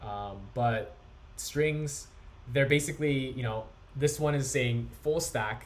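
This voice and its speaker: A man speaks at a very slow pace in a somewhat breathy voice, with audible room echo. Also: medium pitch for a man, ordinary pitch variation. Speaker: coding instructor. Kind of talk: lecture.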